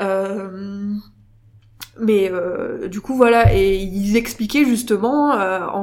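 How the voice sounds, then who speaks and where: A woman's medium-pitched voice with ordinary pitch variation amid noticeable background noise. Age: 20s. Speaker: mother with Instagram account. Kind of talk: casual interview. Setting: coworking space recording.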